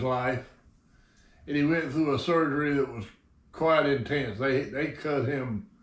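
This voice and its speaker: A man talks with a Southern US accent. His pace is fairly slow. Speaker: RC hobby channel host. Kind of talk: casual chat. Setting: hangar. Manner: slurred.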